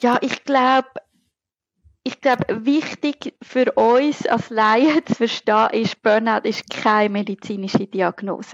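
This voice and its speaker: At a very slow pace, a woman with a Zurich accent speaks with a fairly high pitch and ordinary pitch variation. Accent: Zurich Swiss German dialect. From Switzerland, Zurich. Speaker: burnout researcher and lecturer. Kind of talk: interview.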